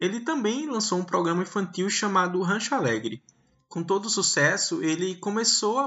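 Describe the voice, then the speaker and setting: The intonation is lively. The pace is moderate. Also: man. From Pernambuco agreste, Brazil. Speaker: podcast host. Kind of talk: scripted narration.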